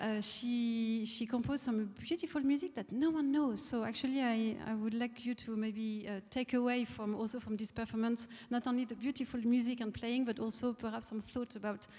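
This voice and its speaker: A fairly high-pitched woman's voice in a French accent, fairly even in intonation, at a moderate pace. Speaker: conductor. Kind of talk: onstage interview. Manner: halting, many hesitations.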